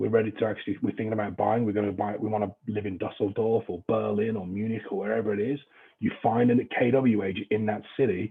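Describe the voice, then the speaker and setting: Fast and flat, a man with an English accent delivers his words in a fairly low pitch at a very fast pace with monotone intonation. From England. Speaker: real estate trainer. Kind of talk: training lecture. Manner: casual, joking.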